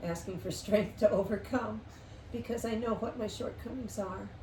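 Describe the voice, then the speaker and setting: At a fairly slow pace, the talking is wrapped in audible room echo. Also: woman. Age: 70s. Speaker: interview guest sharing life story. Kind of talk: casual interview chat.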